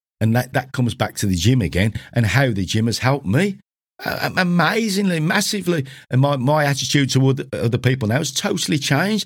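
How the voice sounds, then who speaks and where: A man's medium-pitched, somewhat breathy voice with a British accent, very wide pitch swings and a very fast pace, in a very clean recording with a silent background. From UK. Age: 60s. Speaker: gym owner and podcast host. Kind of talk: solo monologue podcast. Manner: informal, conversational, earnest.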